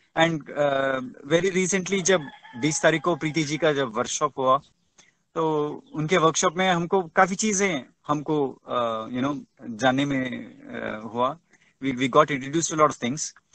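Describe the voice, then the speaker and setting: A man with a Tamil accent speaks in a fairly high pitch. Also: ordinary pitch variation. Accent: Tamil-accented Hindi. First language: Tamil (speaking Hindi). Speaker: webinar speaker. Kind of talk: webinar talk. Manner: halting, many fillers; code-switching Hindi and English.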